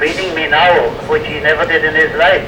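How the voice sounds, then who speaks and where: A man with an Irish accent at a moderate pace and in a monotone, flat intonation, with audible room echo and noticeable background noise. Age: 80s+. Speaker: former sports team member. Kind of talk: casual chat.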